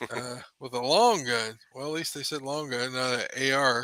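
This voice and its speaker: Recorded dry and close with no echo, a man mumbles at a moderate pace and medium pitch with fairly even intonation. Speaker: podcast co-host. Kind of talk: casual chat. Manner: mumbling.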